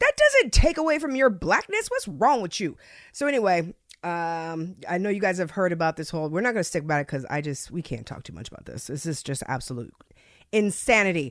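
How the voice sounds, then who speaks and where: With an American accent, a woman talks at a fairly quick pace and fairly low pitch in an animated tone, her pitch swinging very widely and her loudness in big swings. The recording is very clean, with a silent background. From US, born to Jamaican mother. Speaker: podcast host and former radio host. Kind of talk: casual chat.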